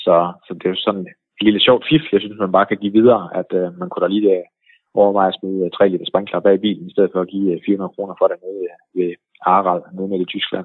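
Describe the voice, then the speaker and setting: At a very fast pace, a man speaks at a fairly low pitch with fairly even intonation. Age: 40s. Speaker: ski website owner. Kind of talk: interview. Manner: hesitant with fillers.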